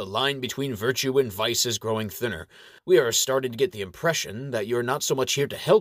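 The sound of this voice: Someone reads in an unforced voice.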